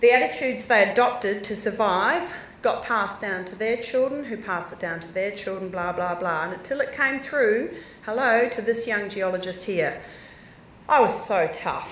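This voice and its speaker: Someone with a New Zealand accent speaks at a moderate pace, loudness swinging widely, with room echo and noticeable background noise. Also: woman, fairly high pitch for a woman, ordinary pitch variation. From New Zealand, South Island. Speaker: geologist. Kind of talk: conference talk. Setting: stage with audience. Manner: animated.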